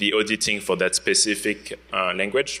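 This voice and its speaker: Over noticeable background noise, a man speaks at a moderate pace with a French accent. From France. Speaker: security researcher. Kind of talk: conference talk. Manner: hesitant, many fillers.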